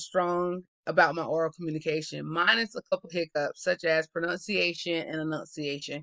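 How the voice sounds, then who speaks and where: The speaker talks in a Southern US accent at a fairly quick pace with hardly any pauses. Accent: Southern US, urban. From US South. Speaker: student. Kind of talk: class presentation. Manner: fast.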